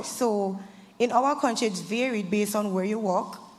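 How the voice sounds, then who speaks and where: Lively intonation marks this woman's medium-pitched voice, heard with audible room echo. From Saint Vincent and the Grenadines. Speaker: student panelist. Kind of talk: panel discussion.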